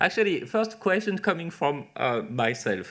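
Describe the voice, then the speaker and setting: The speaker has a French accent and a fairly slow pace. Pitch swings very widely. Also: man. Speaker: webinar moderator, cancer researcher. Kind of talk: Q&A moderation. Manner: hesitant, many fillers.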